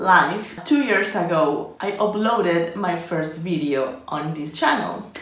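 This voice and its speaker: Noticeable background noise and audible room echo behind fairly slow talk. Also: woman. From Colombia. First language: Spanish. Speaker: illustration and design YouTuber. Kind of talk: casual vlog talking to camera.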